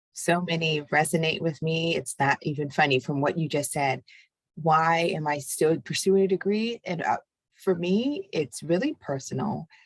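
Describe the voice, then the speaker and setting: A soft-spoken woman with a fairly low pitch and ordinary pitch variation talks at a moderate pace, recorded with a dry, close sound and no echo. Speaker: chat moderator. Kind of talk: personal testimony. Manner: halting.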